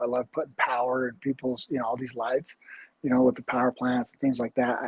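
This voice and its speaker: A medium-pitched man's voice with an American accent. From Utah. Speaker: bare knuckle fighter. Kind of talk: interview. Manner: halting.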